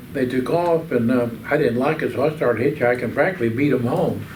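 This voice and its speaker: In a room with audible echo, a man with an American accent talks at a moderate pace and medium pitch, using ordinary pitch variation. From Oklahoma. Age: 80s+. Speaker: war veteran. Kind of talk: oral history interview. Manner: halting.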